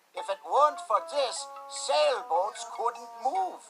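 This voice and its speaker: Over faint music in the background, a man does a cartoonish character voice at an extremely high pitch, speaking at a very slow pace. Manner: slightly cranky, hard of hearing.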